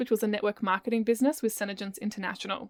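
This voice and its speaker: A woman with an Australian accent speaks in an animated tone at a fairly high pitch. The sound is dry and close, with no echo. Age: 20s. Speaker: podcast host and business coach. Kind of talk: casual solo podcast monologue. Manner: chatty, animated.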